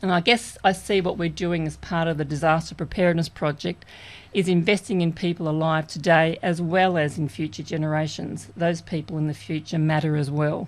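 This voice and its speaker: Fairly quick and fairly even in intonation, a woman speaks with an Australian accent in a fairly low voice. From Australia, far south coast of New South Wales. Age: 50s. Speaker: community radio co-host. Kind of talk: personal introduction on community radio.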